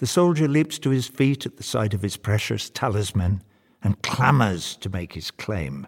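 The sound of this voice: Lively intonation in an unforced reading voice.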